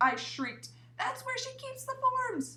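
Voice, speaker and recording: A woman uses a put-on character voice, squeaky and extremely high-pitched. She speaks at a fairly slow pace over light background noise. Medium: read story. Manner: excitable, flustered.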